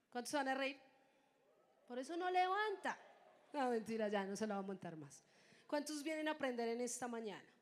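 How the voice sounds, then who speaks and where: A high-pitched woman talks fairly quickly in an animated tone, her pitch swinging very widely. Her speech has long, frequent pauses. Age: 20s. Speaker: preacher. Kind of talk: sermon.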